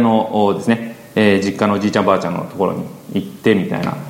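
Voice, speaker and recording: Audible room echo and noticeable background noise around male speech. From Chiba, Funabashi. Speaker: entrepreneur, business partner of host. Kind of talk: casual podcast interview. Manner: animated, laughs often.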